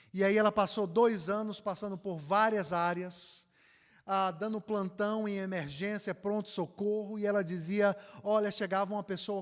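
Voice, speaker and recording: A man with a northeastern Brazilian accent speaks at a moderate pace in a high voice, his intonation fairly even, on a very clean recording with a silent background. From Northeast Brazil, Ceará. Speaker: pastor. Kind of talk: conference lecture.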